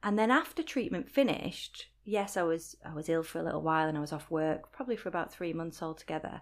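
A woman speaks at a fairly quick pace with a Lancashire accent, her pitch fairly low and her intonation lively. The recording is very clean, with a silent background. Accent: Lancashire northern English, still noticeable. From Rochdale, Lancashire, England. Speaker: blogger and voiceover artist. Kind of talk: casual interview, personal story.

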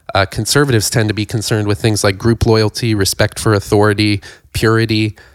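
Speaking very fast in an American accent, a man keeps a fairly low pitch, monotone flat intonation and very even loudness. The recording is very clean with a silent background and a dry, close sound with no echo. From rural Ohio. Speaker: podcast co-host. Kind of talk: casual chat.

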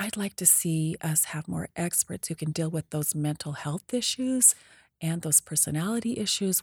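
In a very clean recording with a silent background and a dry, close sound with no echo, a woman with an American accent speaks at a moderate pace with a very deep, low pitch and a somewhat breathy quality. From southeastern Idaho, US. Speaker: political candidate, retired teacher. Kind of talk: interview.

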